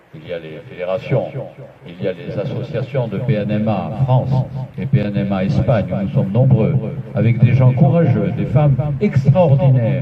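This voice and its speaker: The speech moves at a moderate pace with lively intonation and big swings in loudness. Both background noise and room echo are noticeable. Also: man, medium pitch for a man. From Algeria (pied-noir, Oran), then Spain. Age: 70s. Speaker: association president. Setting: meeting hall with audience. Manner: emotional, formal oratory.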